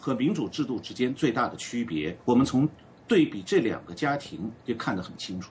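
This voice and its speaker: A man with vocal fry speaks in very wide pitch swings. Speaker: political commentator. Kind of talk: live panel discussion.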